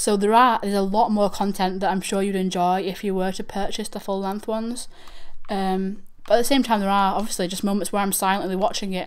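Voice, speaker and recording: A woman talks at a fairly quick pace with a Manchester accent. Room echo is audible. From northern England, Manchester. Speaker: YouTube reaction channel host. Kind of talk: livestream chat. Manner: halting.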